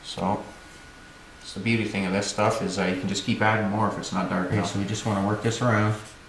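With audible room echo and light background noise, a man speaks in a monotone, flat intonation. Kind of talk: tutorial. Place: workshop.

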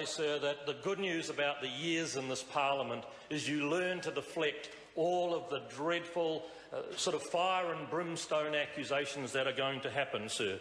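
Audible room echo surrounds a man speaking at a fairly high pitch and a moderate pace. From New Zealand. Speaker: member of parliament. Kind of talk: parliamentary speech. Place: hall. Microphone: podium.

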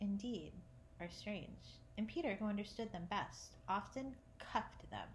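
A natural reading voice with ordinary pitch variation carries the clip.

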